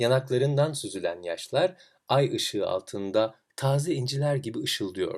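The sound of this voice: With lively intonation and a slightly mellow tone, the voice moves at a fairly slow pace. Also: man, very clean recording, silent background.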